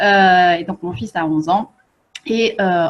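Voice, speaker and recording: A woman's somewhat breathy voice, its pitch varying an ordinary amount. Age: 40s. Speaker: feng shui coach and author. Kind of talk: online workshop presentation. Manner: hesitant, many fillers.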